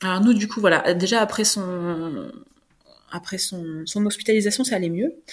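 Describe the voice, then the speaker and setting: With a normal speaking voice, a woman talks at a moderate pace, her medium pitch showing ordinary variation. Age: 30s. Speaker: adoptive mother sharing breastfeeding story. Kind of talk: interview testimony.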